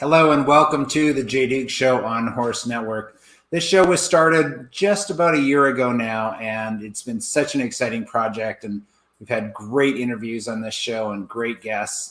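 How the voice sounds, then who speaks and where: Here is a man with a plain, everyday voice at medium pitch. He speaks at a fairly slow pace with ordinary pitch variation. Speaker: talk show host. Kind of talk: interview host questions.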